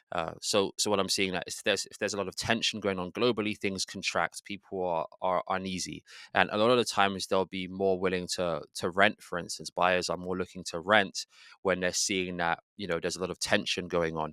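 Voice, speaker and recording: Speaking at a fairly quick pace, a man with a British accent has a very deep, low pitch, a bright, sharp tone and monotone, flat intonation, in a dry, close sound with no echo on a very clean recording with a silent background. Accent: British, remarked on. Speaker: real estate agent. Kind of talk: interview answer.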